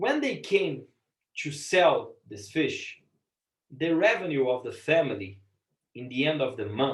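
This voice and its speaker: Here a man speaks with a Portuguese accent. He keeps a fairly slow pace. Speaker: business lecturer and impact investor. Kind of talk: lecture. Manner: halting, frequent repetitions and fillers.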